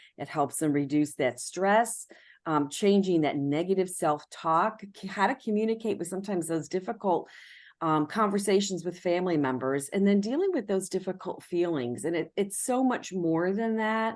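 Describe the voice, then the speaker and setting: Against a quiet background, a normal speaking voice moves at a moderate pace with lively intonation. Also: woman, medium pitch for a woman. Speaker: nonprofit senior services presenter. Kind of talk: presentation.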